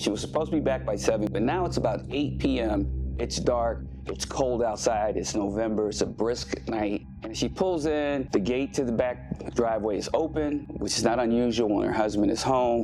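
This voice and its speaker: Very wide pitch swings at a moderate pace, with hardly any pauses and music in the background. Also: man. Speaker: homicide detective. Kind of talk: true crime podcast narration.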